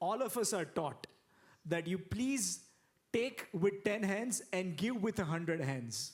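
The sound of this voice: A man speaks at a slow pace. His pitch is high for a man. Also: lively intonation.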